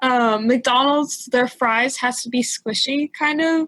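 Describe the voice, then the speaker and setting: A woman with a high pitch talks at a fairly slow pace, her intonation fairly even and the sound dry and close with no echo. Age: adult. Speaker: podcast co-host. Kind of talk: casual chat. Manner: odd-sounding 'yes'.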